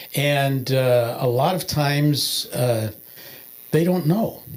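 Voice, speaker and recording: There is noticeable background noise as a man speaks at a fairly high pitch with ordinary pitch variation. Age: 70s. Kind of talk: testimony. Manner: halting, many filler words.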